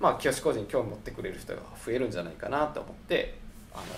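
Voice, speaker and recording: Audible room echo surrounds a man who talks at a very fast pace. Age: 30s. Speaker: architect. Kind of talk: casual chat. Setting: rented guesthouse.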